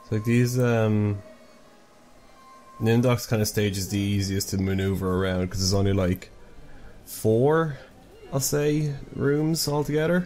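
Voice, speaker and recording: A man with an Irish accent and fairly low pitch, fairly slow and full of long, frequent pauses, his intonation lively, with music in the background. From Ireland. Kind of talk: casual let's play commentary.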